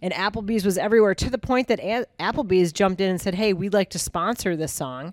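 Speaking very fast with hardly any pauses, a woman comes through in a dry, close sound with no echo. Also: medium pitch for a woman, ordinary pitch variation. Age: 50s. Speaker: podcast co-host, marketer. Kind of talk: casual chat.

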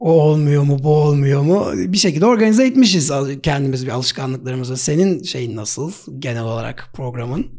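A man speaks at a fairly high pitch in a dark, mellow tone with lively intonation. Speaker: podcast host. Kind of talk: casual interview. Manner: fast, stumbling.

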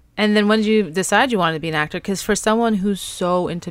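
A woman talks with a New York accent. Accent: New York American. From New York City. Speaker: podcast host. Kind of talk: casual interview chat. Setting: video call.

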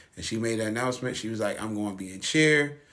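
The intonation here stays fairly even. It is an ordinary speaking voice. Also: man. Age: 30s. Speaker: podcast host. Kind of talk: casual chat. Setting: studio.

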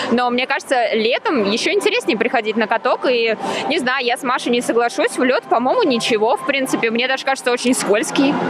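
A woman speaks in a high voice against noticeable background noise. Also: ordinary pitch variation, fairly quick pace. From Russia, Moscow. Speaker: radio host. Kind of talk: casual chat. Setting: indoor ice rink, on location.

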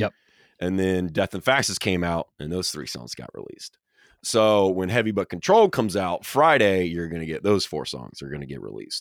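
With a slight Southern US accent, a man with a very deep, low pitch talks at a fairly quick pace and lively intonation, the sound dry and close with no echo on a very clean recording with a silent background. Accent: Southern US, slight twang. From Atlanta, Georgia, US South. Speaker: metal band member, social media manager. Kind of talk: casual interview.

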